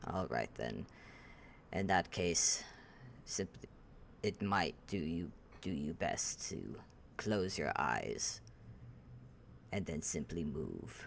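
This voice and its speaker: A man's put-on character voice, very deep and low in pitch, with lively intonation, a very slow pace and long, frequent pauses, over clear background noise. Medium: actual play. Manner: formal, measured.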